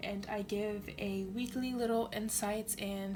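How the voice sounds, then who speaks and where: Music in the background behind a woman's fairly high, monotone voice with flat intonation at a fairly slow pace. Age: 20s. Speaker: tarot reader. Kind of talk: tarot reading to camera. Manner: casual, conversational.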